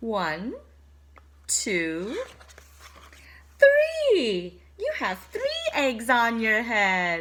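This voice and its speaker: In a put-on character voice pitched fairly high, a woman speaks at a very slow pace with long, frequent pauses. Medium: read story. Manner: bright, cheerful.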